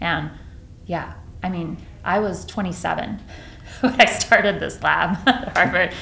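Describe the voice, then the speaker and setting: A woman with an American accent talks very slowly, leaving long, frequent pauses. Her medium-pitched voice has ordinary pitch variation and carries an audible room echo. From Texas, Dallas Fort Worth area, rural farm. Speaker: neuroscientist, professor. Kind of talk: interview conversation. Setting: office with bare walls, slightly echoey. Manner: halting, many fillers and false starts.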